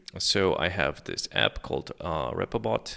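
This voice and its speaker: In a very clean recording with a silent background, a man with a non-native accent talks at a fairly slow pace in a bright, sharp tone with vocal fry. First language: not English. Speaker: software developer. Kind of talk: coding screencast tutorial. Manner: casual with many fillers.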